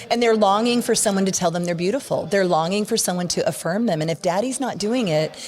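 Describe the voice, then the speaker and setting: A woman's animated, medium-pitched voice, very fast with hardly any pauses and ordinary pitch variation, over noticeable background noise. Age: 60s. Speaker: youth ministry speaker and author. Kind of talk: podcast interview.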